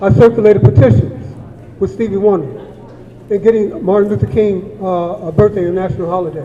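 This speaker has an American accent, a fairly quick pace and lively intonation. Noticeable background noise and audible room echo fill the recording. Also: man, high pitch for a man. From Watts, Los Angeles, California. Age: 60s. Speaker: community member, activist. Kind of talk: public comment at town hall. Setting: community town hall meeting.

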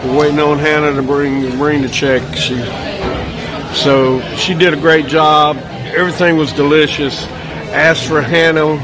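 At a fairly slow pace, a man talks in a monotone, flat intonation with long, frequent pauses and music in the background. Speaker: food reviewer narrating. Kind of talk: casual vlog chat. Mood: cheerful, pleased. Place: cafe. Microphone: phone near.

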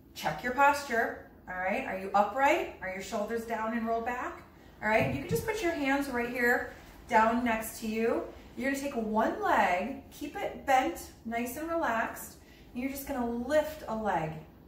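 High-pitched woman's voice at a moderate pace, lively in intonation, with audible room echo and light background noise. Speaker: fitness instructor. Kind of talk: tutorial. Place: empty room. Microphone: camera far.

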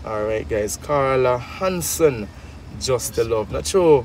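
With a Jamaican accent, a man speaks fairly slowly at a medium pitch with very wide pitch swings, in a dry sound with no echo and light background noise. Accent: Jamaican Patois-accented English. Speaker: charity vlogger; vlogger. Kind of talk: casual vlog chat. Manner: animated. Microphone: phone near.

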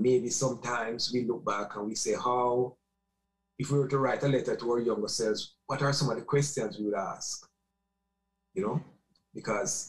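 A somewhat breathy voice at a moderate pace with ordinary pitch variation and long, frequent pauses, against a quiet background. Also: man. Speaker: remote guest. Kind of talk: interview answer. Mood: reflective, nostalgic. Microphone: webcam.

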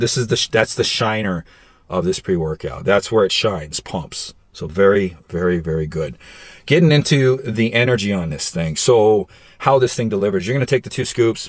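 In a dry sound with no echo and a quiet background, a man speaks at a moderate pace with a fairly low pitch. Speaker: supplement reviewer. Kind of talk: casual product review vlog. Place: car. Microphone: phone near.

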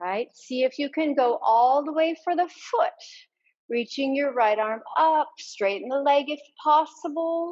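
A woman with a high voice speaks very slowly in a calm tone, with ordinary pitch variation and a quiet background. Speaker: yoga instructor. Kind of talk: guided yoga class, cueing poses and breath. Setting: online yoga class video. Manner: brisk, clear, directive cues, energetic; calm and encouraging. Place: home room.

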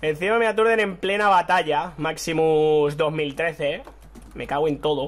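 A man speaks in a fairly high pitch, with ordinary variation in his pitch. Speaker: gaming YouTuber. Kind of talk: live gameplay commentary. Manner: animated, excitable.

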